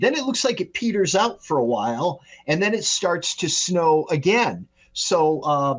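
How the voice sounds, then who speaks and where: Here is a man with an unremarkable speaking voice. He goes at a fairly slow pace with lively intonation. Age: 60s. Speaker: meteorologist. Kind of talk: podcast interview.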